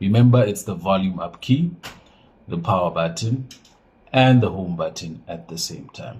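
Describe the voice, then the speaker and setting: A man's fairly low, somewhat breathy voice with lively intonation, big swings in loudness, a moderate pace and long, frequent pauses. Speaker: phone and laptop repair technician. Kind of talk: tutorial. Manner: casual, halting with fillers.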